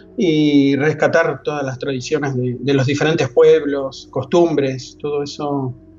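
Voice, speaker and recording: Over music in the background, a man with a fairly high pitch speaks in a monotone, flat intonation at a fairly slow pace with hardly any pauses. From Argentina, La Plata. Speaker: anthropologist and professor. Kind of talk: interview. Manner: halting, many repetitions and fillers.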